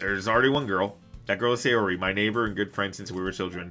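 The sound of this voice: Ordinary rise and fall of pitch in an unforced reading voice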